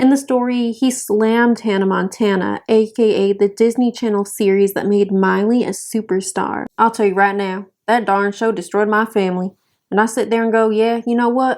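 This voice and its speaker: A woman with a Southern US accent speaks at a moderate pace in a fairly high pitch, with hardly any pauses. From North Carolina, US South. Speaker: YouTuber. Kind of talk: casual commentary. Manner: animated.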